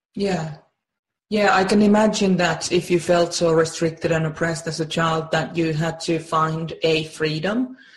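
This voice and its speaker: A woman talks at a moderate pace with a fairly low, somewhat breathy voice. Her intonation stays fairly even. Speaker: personality-type coach and program creator. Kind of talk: interview. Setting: remote call. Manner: warm, effusive. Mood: warm, empathetic. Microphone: video call.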